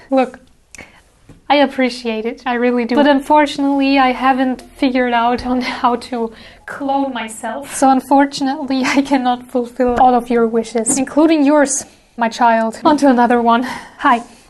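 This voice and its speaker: A high-pitched woman speaking in a monotone, flat manner at a moderate pace, with noticeable background noise. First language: German. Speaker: cosplay prop maker and artist YouTuber. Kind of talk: Q&A video talk. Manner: casual, playful.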